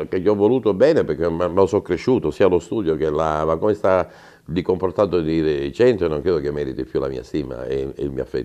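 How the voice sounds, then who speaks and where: The speaker talks at a fairly quick pace with a dark, mellow tone and vocal fry. The background is quiet. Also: man, very deep, low pitch for a man, ordinary pitch variation. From Calabria, Italy. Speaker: mayoral candidate, former mayor; candidate. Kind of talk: interview; interview answer. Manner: halting. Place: studio. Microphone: lapel.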